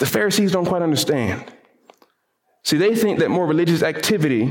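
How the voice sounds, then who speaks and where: In a Southern US accent, a man talks at a fairly quick pace with a fairly high pitch that swings very widely, and the room echo is audible. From US South. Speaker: pastor. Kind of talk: sermon. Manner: repeats words when thinking aloud.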